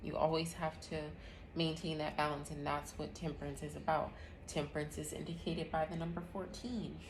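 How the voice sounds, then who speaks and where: Speaking at a fairly quick pace, a woman with a very deep, low pitch and vocal fry keeps her intonation fairly even against audible room echo. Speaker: tarot reader and astrology host. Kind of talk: live tarot reading.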